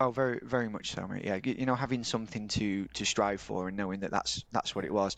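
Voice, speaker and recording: Speaking at a fairly quick pace with hardly any pauses, a man with a Yorkshire accent is heard against a quiet background. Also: fairly low pitch for a man, ordinary pitch variation. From Yorkshire, England (Eckington village). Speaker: telecoms business owner. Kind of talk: casual chat. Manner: talkative.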